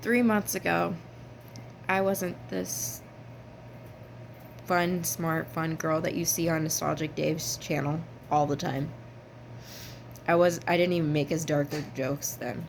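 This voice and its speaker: A woman with an American accent speaks in a very deep, low voice at a fairly slow pace, with vocal fry. Her intonation is lively, broken by long, frequent pauses. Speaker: vlogger. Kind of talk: personal vlog. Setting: at her workplace.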